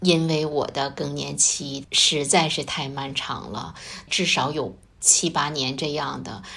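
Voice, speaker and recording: Amid noticeable background noise and audible room echo, a woman speaks very slowly in a very deep, low pitch. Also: ordinary pitch variation. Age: 50s. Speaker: secondary school chemistry teacher. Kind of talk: casual interview.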